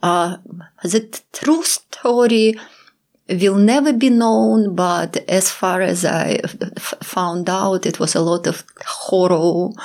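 Intonation moves in a lively way. The speaking pace is very slow. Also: woman, medium pitch for a woman. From Ukraine (Kyiv). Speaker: photographer. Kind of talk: interview. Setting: studio. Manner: halting.

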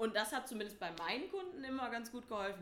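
With audible room echo around her, a woman talks at a fairly quick pace. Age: 20s. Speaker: tutor and yoga teacher. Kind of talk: interview.

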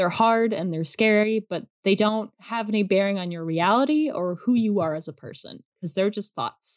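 The sound is dry and close with no echo as a woman speaks with lively intonation. She keeps a moderate pace with hardly any pauses. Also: medium pitch for a woman. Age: young. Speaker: artist sharing OCD experience. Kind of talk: interview.

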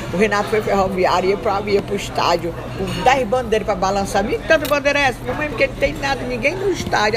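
A woman talks very fast with hardly any pauses, at a fairly high pitch with lively intonation. Crowd noise sits in the background, and room echo is audible. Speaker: journalist. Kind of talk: casual chat. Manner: talkative, fast-flowing.

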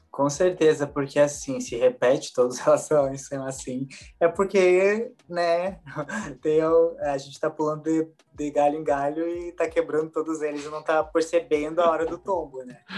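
A man with a fairly high pitch uses a normal speaking voice marked by big swings in loudness. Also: ordinary pitch variation, moderate pace. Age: 20s. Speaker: holistic therapist. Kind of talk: casual chat.

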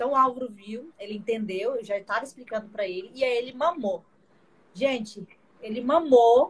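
A woman at a moderate pace, with ordinary pitch variation and big swings in loudness. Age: 30s. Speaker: vascular surgeon and mother. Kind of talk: casual chat. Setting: live video stream.

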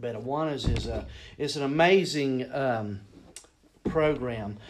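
Speaking at a very slow pace with long, frequent pauses, a man with an American accent uses lively intonation at a medium pitch while audible room echo fills the recording. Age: 40s. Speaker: school mascot performer and children's ministry leader. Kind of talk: casual interview.

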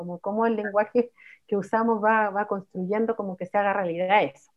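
Here a woman speaks in an unremarkable speaking voice at medium pitch, with ordinary pitch variation. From Chile, Santiago (El Bosque). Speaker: musician and psychologist. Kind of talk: casual chat.

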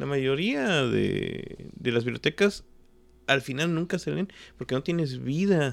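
A man's fairly high voice at a very slow pace with ordinary pitch variation, in a very clean recording with a silent background. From Mexico (Xalapa, Veracruz and Mexico City). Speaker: writer. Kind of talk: casual interview. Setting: at the guest's home.

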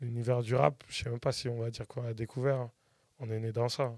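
Keeping a monotone, flat intonation, a man speaks at a fairly quick pace with a medium pitch. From France, Paris region. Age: 40s. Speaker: music producer and artist manager. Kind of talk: casual interview.

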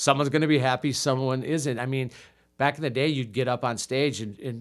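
A man with a Wisconsin accent, medium in pitch, with fairly even intonation and a moderate pace, on a very clean recording with a silent background. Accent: Upper Midwest (Wisconsin) American. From US Midwest, Milwaukee, Wisconsin. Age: 50s. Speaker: improv comedian. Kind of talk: casual chat. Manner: halting.

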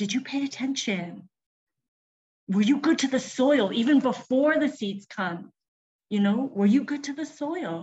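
With a Canadian accent, this speaker uses lively intonation and takes long, frequent pauses. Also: woman, high pitch for a woman. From Vancouver, Canada. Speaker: fiber artist and arts organizer. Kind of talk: casual chat. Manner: halting.

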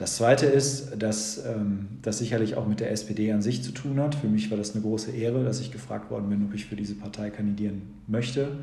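A man with a fairly low pitch talks at a fairly quick pace with hardly any pauses and ordinary pitch variation, amid audible room echo and noticeable background noise. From Germany, Sauerland (Lüdenscheid). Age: 40s. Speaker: school principal and mayoral candidate. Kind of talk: podcast interview.

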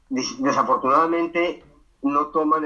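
This is a man's voice. Its tone is bright and sharp. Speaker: video journalist. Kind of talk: interview. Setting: remote call from Ukraine. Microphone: unstable internet connection.

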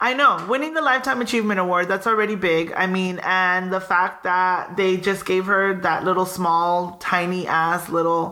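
A woman with medium pitch and an animated tone talks at a moderate pace with hardly any pauses, ordinary pitch variation and very even loudness, over noticeable background noise and audible room echo. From Southern California, Pico Rivera. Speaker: podcast co-host. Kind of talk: casual chat.

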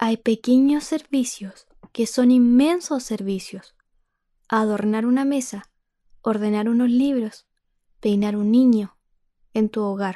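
With a dark, mellow tone and a fairly high pitch, a woman speaks very slowly, using ordinary pitch variation and long, frequent pauses. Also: very clean recording, silent background. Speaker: podcast host reading a poem. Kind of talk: poetry reading aloud, reflective and solemn.

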